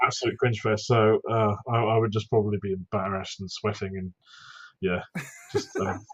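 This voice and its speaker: Mumbling at a moderate pace, a man talks at a fairly low pitch in a monotone, flat intonation. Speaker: YouTube content creator. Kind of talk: casual podcast interview. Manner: mumbles, lots of ums and ahs.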